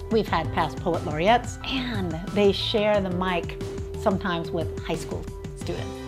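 A woman speaks at a fairly slow pace as music plays clearly in the background. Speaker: radio poetry show co-host. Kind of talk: interview answer, casual talk about community radio. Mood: warm, enthusiastic, reflective. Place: home room.

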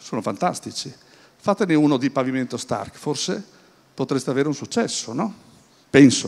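The man's pace is moderate. He uses lively intonation. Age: 60s. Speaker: business speaker; speaker. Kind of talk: conference talk. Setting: stage with audience at an event. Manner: hesitant, with many fillers and repetitions. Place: hall. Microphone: handheld.

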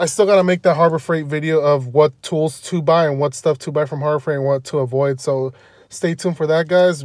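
The speech moves at a fairly quick pace with fairly even intonation. The sound is dry with no echo, over a quiet background. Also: man. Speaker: car DIY vlogger. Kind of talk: tutorial. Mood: relaxed, casual. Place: car. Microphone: phone near.

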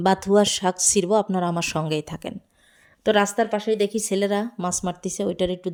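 The background is silent and the recording very clean. A woman does the talking. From Bangladesh, Magura district. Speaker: village cooking vlogger. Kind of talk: vlog narration. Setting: outdoors in village fields. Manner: animated.

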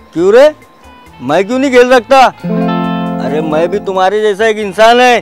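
Clear background music behind a man's voice, dry with no echo. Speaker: actor in comedy skit. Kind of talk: scripted dramatic dialogue. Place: open country.

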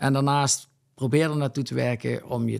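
The pace is moderate as a man talks. Nothing stirs behind him. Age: 30s. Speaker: landscaping entrepreneur; guest. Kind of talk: interview. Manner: hesitant with filler sounds. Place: studio. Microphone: studio mic.

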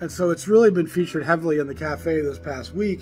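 With light background noise, a man speaks at a fairly quick pace. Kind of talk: casual vlog chat about records. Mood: enthusiastic, expressive. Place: cafe.

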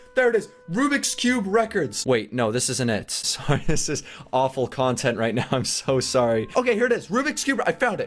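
Faint music plays in the background. A man speaks over it at a moderate pace. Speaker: video creator. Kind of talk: casual vlog chat. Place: home room. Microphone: studio mic.

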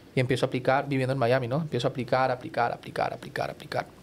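Here a man talks at a fairly high pitch. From Colombia. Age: 30s. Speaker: TV journalist. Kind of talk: casual chat. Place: studio. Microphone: studio mic.

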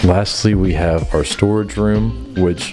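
Clear music plays in the background as a man speaks at a very deep, low pitch. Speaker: home tour host. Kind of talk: casual tour commentary. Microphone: handheld.

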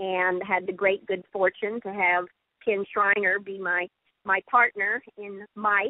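A woman with an unremarkable speaking voice talks at a medium pitch. Her pace is fairly slow and her intonation fairly even. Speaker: actress and voiceover artist. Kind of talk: interview answer.

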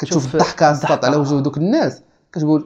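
Fairly even intonation against a quiet background. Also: man. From Morocco. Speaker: student podcast host. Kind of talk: casual chat. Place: home room.

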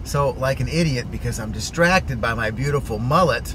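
A man at a moderate pace, dry sound with no echo, noticeable background noise throughout. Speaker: vlogger telling a story. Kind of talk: casual vlog chat. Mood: amused, self-mocking, laughing. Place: car. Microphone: phone near.

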